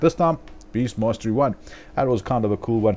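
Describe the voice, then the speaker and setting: Fairly quick speech in a dark, mellow tone moves along with ordinary pitch variation. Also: man. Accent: South African. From South Africa. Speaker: gaming video commentator. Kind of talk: gameplay voiceover commentary. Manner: casual, filler-heavy.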